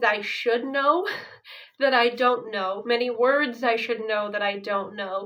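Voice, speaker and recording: A woman with an American accent speaks at a high pitch. Her pace is fairly slow. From Ukraine, raised by American parents. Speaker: vlogger. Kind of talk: casual chat.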